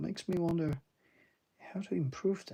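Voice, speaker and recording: A quiet man at a fairly slow pace. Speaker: artist streaming a drawing session. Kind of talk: live-stream drawing commentary. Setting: home at night, others asleep. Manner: quiet, low-key; hesitant, many fillers.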